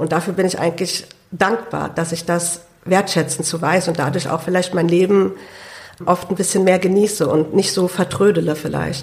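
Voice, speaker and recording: A woman speaks at a moderate pace with a fairly low pitch and fairly even intonation. Noticeable background noise sits behind her. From Hunsrück, Rhineland-Palatinate. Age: 20s. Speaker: lung transplant patient and student. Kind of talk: interview. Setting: studio.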